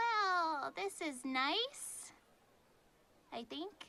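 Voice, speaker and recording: A woman's put-on character voice, squeaky and extremely high-pitched, with very wide pitch swings. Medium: cartoon. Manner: eager, flustered.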